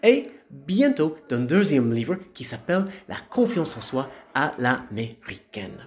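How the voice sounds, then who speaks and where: An enthusiastic, upbeat man with very wide pitch swings. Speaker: motivational speaker and author. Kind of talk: promotional pep talk. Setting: video message to followers, informal. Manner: enthusiastic, upbeat, animated; repeats words for emphasis, warm and friendly. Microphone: phone near.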